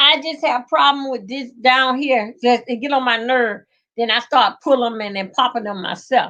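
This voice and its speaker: A woman with a strong Southern US accent, high in pitch, bright and sharp in tone, at a moderate pace with ordinary pitch variation. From rural Georgia, US South. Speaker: livestreamer. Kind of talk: casual live chat. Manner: chatty, rambling with hesitations.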